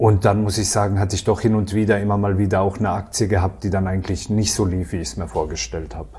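Spoken at a very fast pace with hardly any pauses, the voice keeps a fairly even intonation over noticeable background noise. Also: man, fairly low pitch for a man. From Baden, Karlsruhe area (southwest Germany). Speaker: self-employed retailer and trading client. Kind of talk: interview testimonial.

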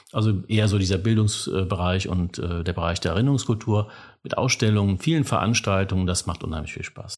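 A man's normal speaking voice, fairly low in pitch with ordinary pitch variation, at a fairly quick pace. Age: 50s. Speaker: civic education officer. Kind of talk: interview.

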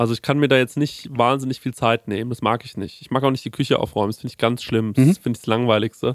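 On a very clean, dry, close recording with no echo and a silent background, a man speaks very fast at a medium pitch, his intonation fairly even and his loudness swinging widely. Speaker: podcast host. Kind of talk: casual chat.

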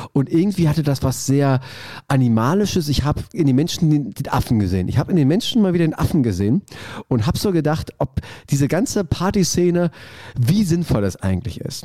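A man with a fairly high pitch makes very wide pitch swings in a very clean recording with a silent background. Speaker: podcast co-host. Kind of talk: casual chat. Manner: halting, stammering.

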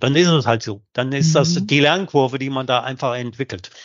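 A man speaks with ordinary pitch variation. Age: 50s. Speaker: sales director. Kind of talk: interview. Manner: halting.

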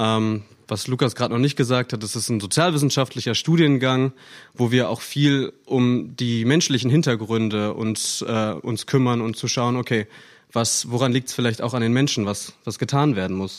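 With an ordinary speaking voice, a man speaks at a moderate pace and medium pitch with ordinary pitch variation, recorded very cleanly against a silent background. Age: 20s. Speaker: podcast co-host, ecology graduate. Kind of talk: casual chat. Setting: living room recording.

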